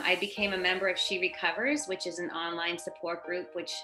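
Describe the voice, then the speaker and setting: Music can be heard in the background. Over it, a woman speaks at a moderate pace. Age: 50s. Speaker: person in recovery. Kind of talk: testimony. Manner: casual with frequent fillers.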